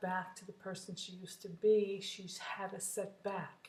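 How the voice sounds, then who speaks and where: A woman speaks at a medium pitch, somewhat breathy, in monotone, flat intonation. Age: 60s. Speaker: vlogger sharing weight loss surgery journey. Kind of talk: casual personal vlog. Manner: halting with fillers.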